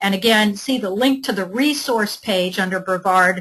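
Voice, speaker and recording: Speaking at a fairly slow pace, a woman uses a medium pitch with lively intonation. Her tone is bright and sharp. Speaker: event moderator and presenter. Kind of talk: webinar presentation. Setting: online simulcast.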